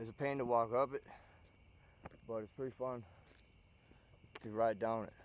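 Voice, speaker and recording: A man with an American accent speaks at a moderate pace and medium pitch, in a monotone, flat intonation. He leaves long, frequent pauses. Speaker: vlogger. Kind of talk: outdoor vlog monologue. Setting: outdoors. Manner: loud.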